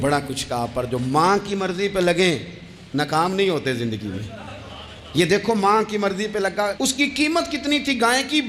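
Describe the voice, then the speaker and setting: Against noticeable background noise, a man's pitch swings very widely. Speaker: Islamic preacher delivering a sermon. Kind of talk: religious sermon (bayan). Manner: emotive, storytelling, addressing audience directly.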